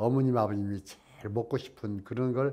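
A man's voice carries a dark, mellow tone, with ordinary pitch variation and a moderate pace. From Korea. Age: old. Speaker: interviewee. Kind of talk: casual interview answer, reminiscing. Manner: emotional. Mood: warm, fond, nostalgic. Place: studio. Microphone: lapel.

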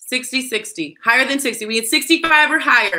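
The voice is raised and projected, with a bright, sharp tone. The background is quiet. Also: woman. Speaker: auction host, sales consultant. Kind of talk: live-streamed charity auction. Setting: live video stream. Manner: excitable. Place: office. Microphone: webcam.

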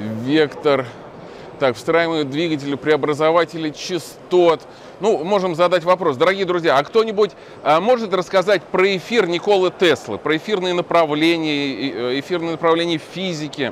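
High pitch for a man, moderate pace and ordinary pitch variation, dry sound with no echo and light background noise. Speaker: channel host and movement activist. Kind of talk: on-location vlog and street interviews. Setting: crowded exhibition hall. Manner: animated. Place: hall. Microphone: phone near.

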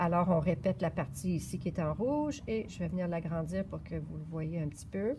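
Over noticeable background noise, a woman with a Quebec accent talks at a moderate pace with hardly any pauses. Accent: Québécois French. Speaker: yarn shop knitting presenter; presenter. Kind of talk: knitting tutorial. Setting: yarn shop. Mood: calm, patient. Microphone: phone near.

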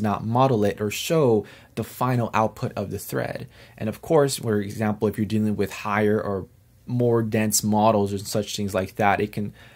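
A man speaks in an unremarkable speaking voice at fairly low pitch. His pace is moderate and his intonation fairly even. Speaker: CAD tutorial maker. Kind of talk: tutorial. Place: home room.

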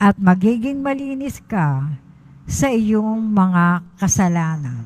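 A woman's somewhat breathy voice at a medium pitch, very slow, with very wide swings in pitch. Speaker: lector. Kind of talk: reading aloud. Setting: church.

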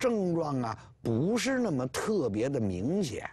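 A man speaks with very wide pitch swings over a quiet background. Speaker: professor lecturer. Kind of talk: lecture. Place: studio. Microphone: lapel.

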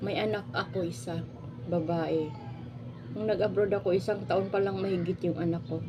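Amid noticeable background noise and audible room echo, a woman talks with lively intonation. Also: fairly low pitch for a woman, moderate pace. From Philippines. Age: 40s. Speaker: vlogger, former overseas domestic worker. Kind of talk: casual vlog monologue.

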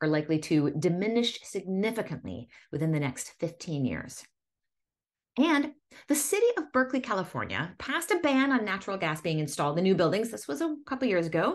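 A woman with an American accent talks at a fairly quick pace, her pitch swinging very widely over a quiet background. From Massachusetts. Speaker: independent news host. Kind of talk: news reading. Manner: steady, explanatory news-anchor delivery with frequent fillers and ad-libbed asides. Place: home room. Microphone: studio mic.

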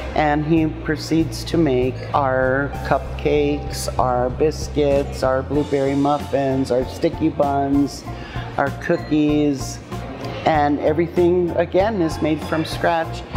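With clear music in the background, a woman speaks at a very slow pace and very even loudness. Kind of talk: interview answer. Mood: warm and proud. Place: cafe. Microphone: lapel.

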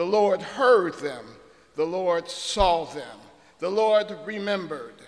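The pitch shows ordinary variation. A man delivers the words at a fairly slow pace. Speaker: guest preacher. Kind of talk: sermon. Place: church. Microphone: podium.

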